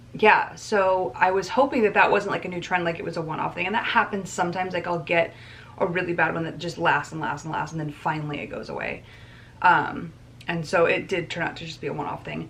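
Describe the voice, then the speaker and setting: A woman with a fairly low voice talks fairly quickly, her intonation fairly even. Her loudness swings widely, and there is noticeable background noise. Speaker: vlogger. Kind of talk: casual vlog talk. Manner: fast.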